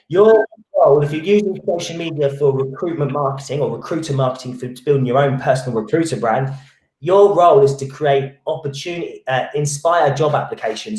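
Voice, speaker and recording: A man talks at a fairly quick pace. His fairly high voice has lively intonation. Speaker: recruitment marketing trainer. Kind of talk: online training webinar. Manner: fast; halting, many restarts and fillers.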